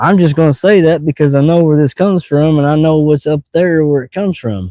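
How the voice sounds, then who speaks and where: Speaking with a Missouri accent, a man uses a fairly high pitch, ordinary pitch variation and a fairly quick pace. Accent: southeast Missouri rural accent, noticeable. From US Midwest, southeast Missouri. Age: 40s. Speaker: fishing live streamer. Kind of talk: casual live stream chat. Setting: outdoors by water, fishing. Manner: relaxed, casual.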